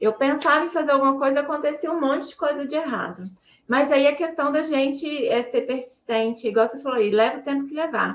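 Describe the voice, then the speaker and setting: A woman speaks at a fairly quick pace in a high pitch. Her pitch varies in an ordinary way. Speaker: artisan and craft content creator. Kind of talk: casual talk to viewers. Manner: soft-spoken.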